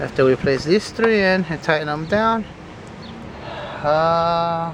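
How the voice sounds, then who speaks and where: A man with a non-native accent speaks at a fairly slow pace and a fairly high pitch. His pitch variation is ordinary, and there is noticeable background noise. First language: not English. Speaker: home car mechanic. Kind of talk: tutorial. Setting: under a car in a garage. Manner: casual.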